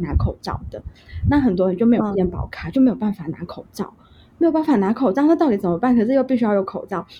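A woman with a slight Hong Kong accent speaks very fast in a fairly high, somewhat breathy voice that swings very widely in pitch. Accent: Mandarin with little Hong Kong. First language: Cantonese (speaking Chinese). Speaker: Hong Kong migrant sharing experience. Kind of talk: interview conversation.

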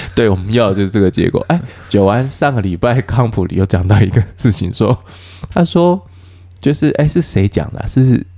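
A man at a moderate pace, with ordinary pitch variation, against noticeable background noise. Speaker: stand-up comedian and podcast host. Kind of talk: casual chat. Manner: gentle, soft-spoken.

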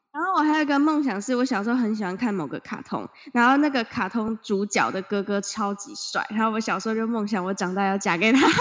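A woman's fairly high voice at a very fast pace, with hardly any pauses, lively intonation and noticeable background noise. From Taiwan. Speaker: podcast co-host. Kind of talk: casual chat. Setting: remote Skype recording from home.

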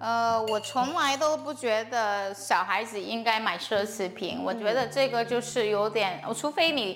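With music in the background, a woman at a fairly high pitch and ordinary pitch variation speaks with hardly any pauses. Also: fairly slow pace. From China. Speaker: mother of two. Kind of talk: casual interview. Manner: hesitant, many fillers.

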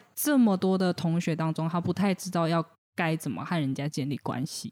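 This woman has an unremarkable speaking voice, fairly low in pitch with ordinary pitch variation. The recording is very clean, with a silent background. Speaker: counseling psychologist. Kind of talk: casual chat.

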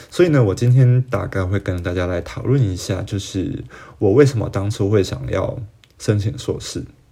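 With lively intonation, a man talks at a fairly quick pace in a fairly low pitch. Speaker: podcast host. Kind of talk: solo podcast monologue. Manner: casual, hesitant with fillers.

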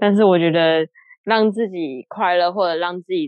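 Fairly low in pitch, a woman speaks in an ordinary speaking voice at a moderate pace with ordinary pitch variation. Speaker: career military NCO, listener guest. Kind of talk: casual chat. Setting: online call.

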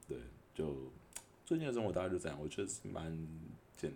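With a Taiwanese accent, a man speaks at a very deep, low pitch with vocal fry. His pitch varies in an ordinary way, and room echo is audible. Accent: Taiwanese Mandarin. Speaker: podcaster and food delivery rider. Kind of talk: casual monologue. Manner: hesitant, filler-heavy.

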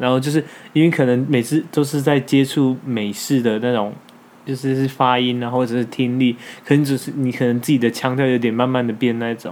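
A man with a Taiwanese accent at a fairly quick pace. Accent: Taiwanese Mandarin. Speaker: podcast co-host. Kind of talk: casual chat.

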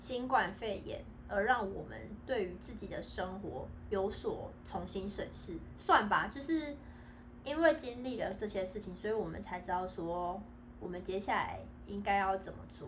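Big swings in loudness, vocal fry and lively intonation come through at a fairly slow pace with audible room echo. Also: woman, medium pitch for a woman. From Taiwan. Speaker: podcast co-host, returned overseas student. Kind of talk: casual chat.

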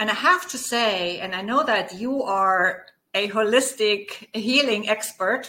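With a German accent, a woman speaks at a fairly slow pace and fairly high pitch, her tone bright and sharp and her intonation lively. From Germany. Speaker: guest, holistic practitioner and dance enthusiast. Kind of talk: casual interview chat.

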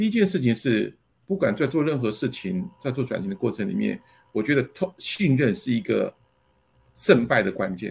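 Vocal fry and very wide pitch swings in a man's voice. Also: medium pitch for a man, moderate pace. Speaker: company general manager. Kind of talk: interview. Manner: halting with many fillers.

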